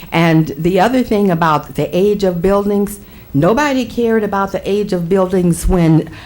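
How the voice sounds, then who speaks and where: A woman at a moderate pace, with audible room echo and noticeable background noise. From US Midwest, Waterloo, Iowa. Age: 70s. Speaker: pastor. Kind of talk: public comment at council meeting. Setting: city council chamber.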